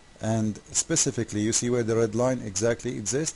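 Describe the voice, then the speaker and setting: Over noticeable background noise, a man with an Arabic accent speaks at a fairly slow pace. His pitch is medium, with ordinary pitch variation. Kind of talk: casual commentary video. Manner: animated; halting.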